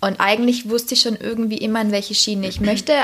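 A woman's medium-pitched voice, fairly even in intonation, comes through clear background noise. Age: 20s. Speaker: nurse on parental leave, social media creator. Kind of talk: casual chat. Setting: at host's home.

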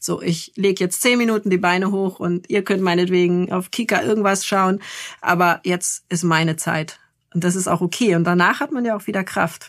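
Hers is an unremarkable speaking voice, and she keeps a moderate pace. The woman's pitch varies in an ordinary way. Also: medium pitch for a woman, very clean recording, silent background. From northern Germany, Lübeck. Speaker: journalist and parenting blogger. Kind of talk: interview.

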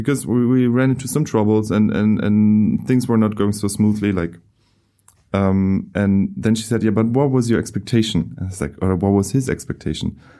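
In a German accent, a man speaks at a moderate pace with a fairly low pitch and a dark, mellow tone. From Germany. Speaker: filmmaker. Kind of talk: casual interview. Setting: studio.

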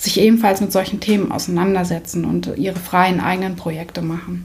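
Against audible room echo, a woman speaks fairly quickly at a medium pitch in a flat monotone. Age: 30s. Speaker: photographer. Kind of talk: interview.

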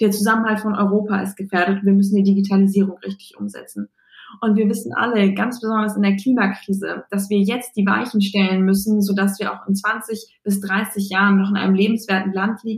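Somewhat breathy and at medium pitch, a woman speaks at a fairly quick pace with monotone, flat intonation. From Bremen, northern Germany. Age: 20s. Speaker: politician. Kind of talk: interview.

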